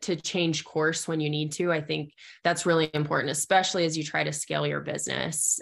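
Over a quiet background, the speaker has an American accent, vocal fry and monotone, flat intonation. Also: woman. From US Southwest, southeastern Arizona. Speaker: small business owner. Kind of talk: interview.

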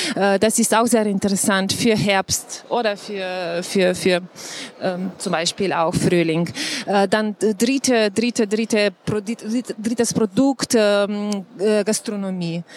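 A woman speaks at medium pitch with a Slovenian accent and fairly even intonation. Her pace is very slow, and there is noticeable background noise. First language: Slovenian (speaking German). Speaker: tourism official. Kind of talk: panel talk. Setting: live audience at trade fair. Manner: halting.

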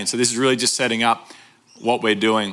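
An Australian accent in a bright, sharp tone. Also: man. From Brisbane, Australia. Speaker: pastor. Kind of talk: sermon.

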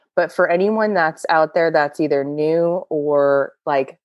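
A woman's fairly low-pitched voice with ordinary pitch variation, an ordinary speaking voice. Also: quiet background. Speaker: guest, AA sponsor and Instagram account host. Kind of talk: casual interview chat.

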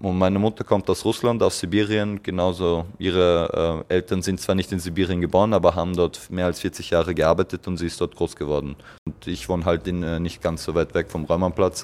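Over a very clean recording with a silent background, a man with a very deep, low pitch talks at a fairly quick pace with fairly even intonation and hardly any pauses. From Vienna, Austria. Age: 20s. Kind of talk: interview.

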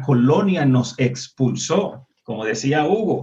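A man's fairly high-pitched, somewhat breathy voice. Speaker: panelist. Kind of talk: political discussion.

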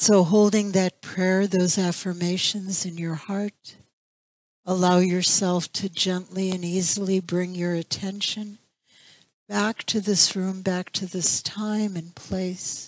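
On a very clean recording with a silent background, a woman at a medium pitch speaks very slowly in a monotone, flat intonation. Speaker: spiritual center minister leading meditation. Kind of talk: guided meditation, slow calm spoken prayer with long silences. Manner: soft-spoken, soothing, gentle.

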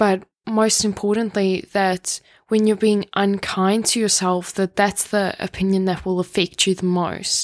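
At a fairly slow pace, the voice stays monotone and flat with very even loudness, on a very clean, dry, close recording with a silent background and no echo. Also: woman, medium pitch for a woman. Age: 20s. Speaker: podcast host. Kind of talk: casual monologue.

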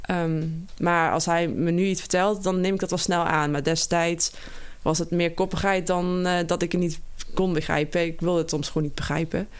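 A woman with a Limburg accent talks at a moderate pace in a monotone, flat intonation. Her loudness stays very even. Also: fairly low pitch for a woman. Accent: Limburg accent, soft G. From Limburg, Geleen. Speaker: triathlete. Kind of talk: interview.

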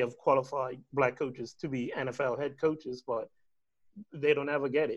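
With monotone, flat intonation, a man speaks at a fairly high pitch and a moderate pace. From Bermuda. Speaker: assistant college soccer coach. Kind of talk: casual discussion.

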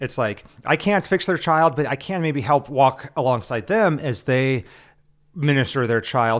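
A man with an American accent speaks at a moderate pace and medium pitch, his intonation lively. It is an ordinary speaking voice, captured on a very clean recording with a silent background. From Nebraska. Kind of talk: casual religious discussion.

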